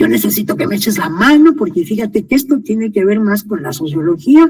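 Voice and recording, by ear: Putting on a character voice, a man talks fairly quickly at a high pitch with very wide pitch swings. His voice is raspy and hoarse.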